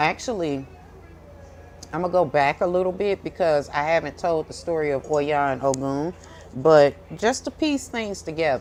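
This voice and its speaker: The speaker has a St. Louis accent. The pace is moderate. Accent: St. Louis Midwest way of talking. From US Midwest, St. Louis, Missouri. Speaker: tarot reader and spiritual content creator. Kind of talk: casual monologue to camera. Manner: loud, can sound harsh.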